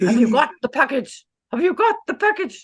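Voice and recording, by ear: Done in a put-on character voice with a Russian accent, the delivery swings very widely in pitch.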